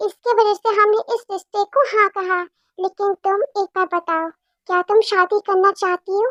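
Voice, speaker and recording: A woman uses a put-on character voice at an extremely high pitch, with fairly even intonation. She talks at a fairly slow pace, and the sound is dry and close with no echo. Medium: read story. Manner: warm, coaxing.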